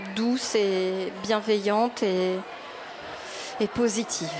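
Over noticeable background noise, a woman with a fairly high pitch speaks at a very slow pace with fairly even intonation. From Quebec. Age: 30s. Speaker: YouTuber and actress. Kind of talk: interview. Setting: live radio broadcast from a venue with audience. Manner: hesitant.

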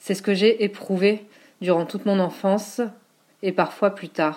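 A woman at medium pitch, very slow in pace, with fairly even intonation. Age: 40s. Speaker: teacher and writing collective founder. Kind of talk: reading aloud.

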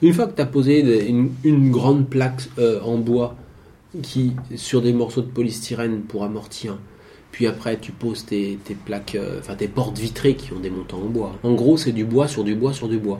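A man's medium-pitched, somewhat breathy voice, dark and mellow in tone, with fairly even intonation, a moderate pace and audible room echo. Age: 40s. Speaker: cyclist moving house by bike. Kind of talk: casual interview.

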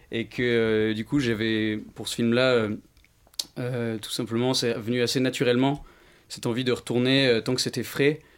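A man speaks at a medium pitch and a fairly slow pace. His intonation stays flat and monotone. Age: 20s. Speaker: film director. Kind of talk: interview. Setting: studio.

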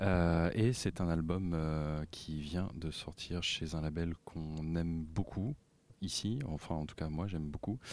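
Heard in a very clean recording with a silent background, a gruff man speaks at a very slow pace in a very deep, low pitch with ordinary pitch variation. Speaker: radio music columnist. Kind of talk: casual radio chat.

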